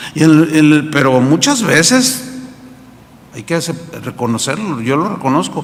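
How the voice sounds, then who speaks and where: A man at a moderate pace with ordinary pitch variation, amid audible room echo and noticeable background noise. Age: 60s. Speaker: pastor. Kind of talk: sermon. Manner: conversational, with repetitions.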